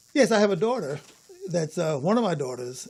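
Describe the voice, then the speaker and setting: A man with an American accent speaks in a high voice over noticeable background noise. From Bronx, New York. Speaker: jazz bassist. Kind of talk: casual interview. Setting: studio.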